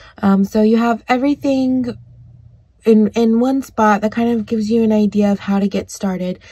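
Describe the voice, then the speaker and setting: A woman speaks at a moderate pace in a fairly high, somewhat breathy voice with a dark, mellow tone and fairly even intonation. The recording is very clean, with a silent background. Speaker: craft channel host. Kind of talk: tutorial. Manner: casual, hesitant with frequent ums.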